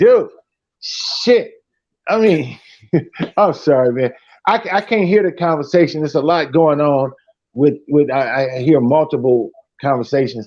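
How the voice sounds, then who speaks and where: A man with a fairly high voice speaks at a fairly slow pace with lively intonation and long, frequent pauses. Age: 60s. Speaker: live stream caller. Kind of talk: casual chat.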